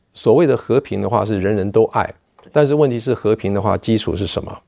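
Against a quiet background, the speaker goes at a fairly quick pace. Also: man. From Taiwan, Kaohsiung; Taiwan. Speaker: political science professor. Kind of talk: interview. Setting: university campus. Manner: halting, many fillers. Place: empty room.

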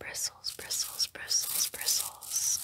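A woman whispers. Her pace is very slow. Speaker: ASMR creator. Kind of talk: soft ASMR trigger words. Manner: soft-spoken, hushed ASMR murmur. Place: home room. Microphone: phone near.

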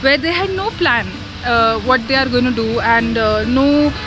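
Over clear music in the background, a woman speaks at a high pitch and a moderate pace in a dry sound with no echo. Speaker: travel vlogger. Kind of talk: casual vlog chat. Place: garden. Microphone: phone near.

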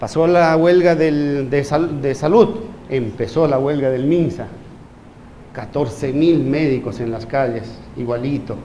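There is light background noise behind this man. He speaks at a very slow pace. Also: fairly high pitch for a man, ordinary pitch variation. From Peru. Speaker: physician. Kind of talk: lecture.

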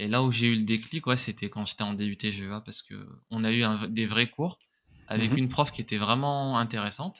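A man's medium-pitched voice varies in an ordinary way as he talks at a moderate pace. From France, Grenoble area; France. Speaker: content creator; podcast guest, content creator. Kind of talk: interview. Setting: remote recording. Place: home room. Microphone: studio mic.

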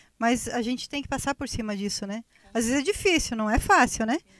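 Over a quiet background, a woman talks at a very fast pace in a high voice with ordinary pitch variation, in a dry sound with no echo. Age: 40s. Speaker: guest. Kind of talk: casual chat. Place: studio. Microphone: handheld.

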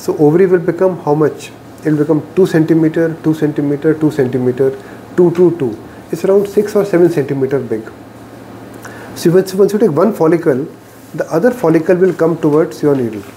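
Someone speaks at a fairly quick pace against light background noise. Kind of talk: lecture. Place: meeting room. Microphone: camera far.

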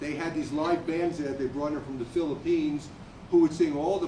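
Noticeable background noise accompanies a man talking at a fairly high pitch. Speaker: Air Force Vietnam veteran. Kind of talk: staged testimony. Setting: stage with audience. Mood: reflective storytelling. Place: stage. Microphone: camera far.

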